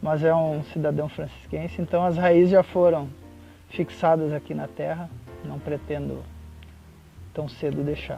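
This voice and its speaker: With music in the background, a man delivers his words at a moderate pace. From Porto Alegre, Rio Grande do Sul, Brazil. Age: 40s. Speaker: works at a federal institute, teaches students. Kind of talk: interview answer.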